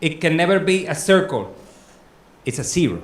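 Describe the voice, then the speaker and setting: In a Spanish accent, the speaker talks at a moderate pace with audible room echo. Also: man. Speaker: academic conference speaker. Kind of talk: lecture. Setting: conference room with audience, also on Zoom.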